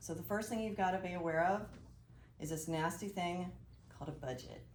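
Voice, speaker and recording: A woman talks at a very fast pace with ordinary pitch variation. There is audible room echo. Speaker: financial advisor, presenter. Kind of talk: presentation to business group. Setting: live audience in room. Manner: animated.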